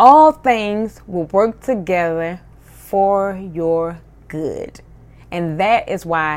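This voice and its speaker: An ordinary speaking voice from a woman, fairly low in pitch with ordinary pitch variation, on a very clean recording with a silent background. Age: 30s. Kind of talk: faith-based personal monologue. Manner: casual, with filler words.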